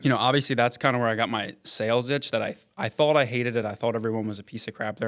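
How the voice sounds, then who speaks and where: A man talks at a very fast pace in a Central Pennsylvania accent. His intonation stays fairly even. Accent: Central Pennsylvania American. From Pennsylvania, York County. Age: 30s. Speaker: real estate investor. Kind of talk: podcast interview.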